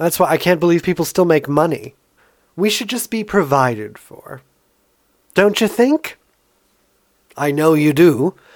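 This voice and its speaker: The talking goes at a moderate pace, broken by long, frequent pauses. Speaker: podcast host, artist. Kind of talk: solo monologue podcast. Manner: animated, laughing often.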